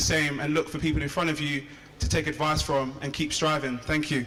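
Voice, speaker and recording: Very fast, flat, monotone speech from a man, with audible room echo and noticeable background noise. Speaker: PhD student and entrepreneur. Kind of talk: inspirational speech. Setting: stage with audience.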